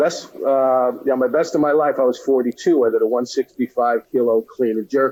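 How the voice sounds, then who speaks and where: A man with an American accent talks at a moderate pace with hardly any pauses. His medium-pitched voice has a dark, mellow tone and fairly even intonation. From Connecticut, Stamford. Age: 60s. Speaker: weightlifting coach. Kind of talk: podcast interview. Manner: conversational, with many fillers.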